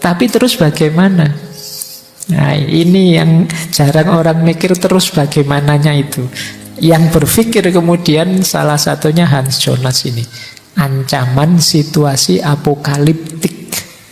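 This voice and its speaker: Someone soft-spoken talks at a fairly slow pace, with audible room echo and music in the background. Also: man, fairly high pitch for a man, ordinary pitch variation. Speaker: philosophy teacher at religious study gathering. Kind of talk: lecture.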